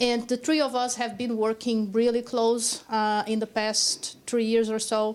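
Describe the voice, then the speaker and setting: A woman talks at a fairly slow pace with hardly any pauses. Her intonation stays flat and monotone. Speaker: public health professor. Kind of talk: conference presentation. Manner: loud.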